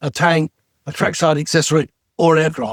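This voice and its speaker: A man with an English accent, in a dry, close sound with no echo. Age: 70s. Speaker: retired TV special effects designer. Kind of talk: casual interview chat.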